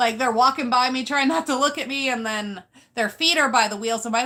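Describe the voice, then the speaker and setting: A woman raises and projects her voice. It is high-pitched, with a bright, sharp tone. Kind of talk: live stream talk.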